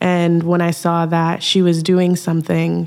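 With noticeable background noise behind her, a woman speaks in an American accent at a fairly low pitch. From Minnesota. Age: young. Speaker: artist and community organizer. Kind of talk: podcast interview.

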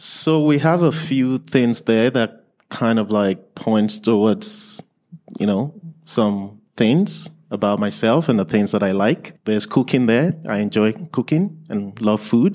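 A man speaks very slowly with a Nigerian accent. His intonation rises and falls in a lively way. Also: medium pitch for a man. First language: Yoruba or other Nigerian language. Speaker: learning support teacher. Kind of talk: conference presentation. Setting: stage with audience.

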